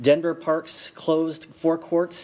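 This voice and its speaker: A man talks with noticeable background noise in the clip. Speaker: public commenter at city council. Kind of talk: public comment. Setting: council chamber. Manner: fast.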